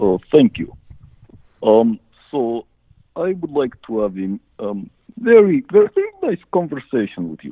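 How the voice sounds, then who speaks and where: A man speaks with a Czech accent at a fairly high pitch and a fairly slow pace, leaving long, frequent pauses. His pitch swings very widely and his loudness shifts a lot. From Czechoslovakia. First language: Czech or Slovak. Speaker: caller. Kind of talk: call-in question. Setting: phone call. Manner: halting.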